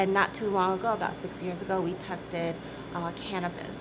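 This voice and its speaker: A woman's fairly low, monotone, flat voice at a very fast pace, with noticeable background noise and audible room echo. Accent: Midwestern American. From US Midwest, Michigan. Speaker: company CEO. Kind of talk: interview.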